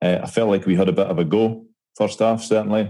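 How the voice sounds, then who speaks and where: This voice carries a Scottish accent. Its tone is dark and mellow. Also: man. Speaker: podcast co-host. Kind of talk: casual chat.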